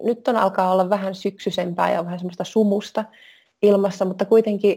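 This woman speaks at a moderate pace with a medium pitch and a dark, mellow tone. Her intonation is monotone and flat. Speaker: personal trainer and wellness coach. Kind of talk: interview.

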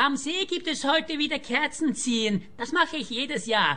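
A woman's put-on character voice, high, bright and sharp, with lively intonation. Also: fairly slow pace.

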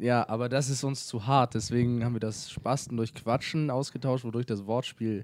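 A man with medium pitch speaks at a moderate pace. His tone is slightly mellow and his intonation fairly even.

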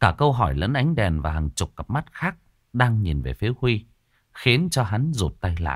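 The speaker uses an unforced reading voice over a quiet background.

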